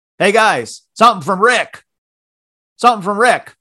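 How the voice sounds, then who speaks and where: Shouting loudly in a put-on character voice with a New York accent, a man delivers lively intonation at a high pitch and a moderate pace. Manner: loud, shouting.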